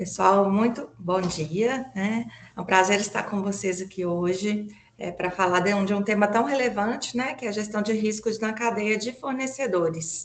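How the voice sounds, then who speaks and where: Noticeable background noise sits behind a woman with a Minas Gerais accent. She talks at medium pitch and a moderate pace with ordinary pitch variation. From Brazil, Minas Gerais (Belo Horizonte). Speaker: environmental lawyer and consultant. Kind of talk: webinar presentation. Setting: online webinar. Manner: frequent fillers (né, é).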